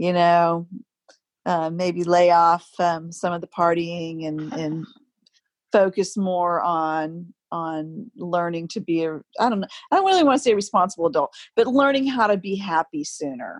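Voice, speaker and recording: Her pitch fairly low, a woman speaks at a moderate pace in an ordinary speaking voice with ordinary pitch variation. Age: 50s. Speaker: yoga teacher. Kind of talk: casual chat.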